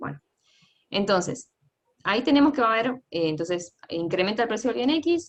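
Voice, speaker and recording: With long, frequent pauses, a woman speaks at a fairly high pitch and swings her pitch very widely. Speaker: economics teaching assistant. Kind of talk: lecture. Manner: fast.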